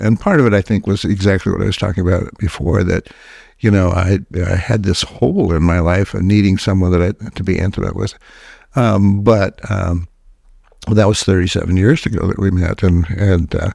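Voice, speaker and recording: With a dark, mellow tone and a very deep, low pitch, a man talks at a fairly quick pace and with fairly even intonation in a very clean recording with a silent background. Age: 80s+. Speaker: psychiatrist and author. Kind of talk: interview. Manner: halting, many filler words.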